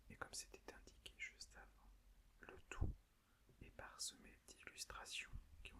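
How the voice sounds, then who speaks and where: Whispering with long, frequent pauses and big swings in loudness. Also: man. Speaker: ASMR creator. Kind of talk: ASMR book presentation. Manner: whispered.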